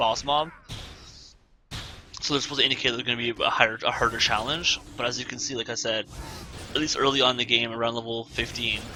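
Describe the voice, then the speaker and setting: Noticeable background noise sits behind a man with a medium pitch. He talks at a very fast pace with fairly even intonation. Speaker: gameplay commentator. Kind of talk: live gameplay commentary. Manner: casual, halting.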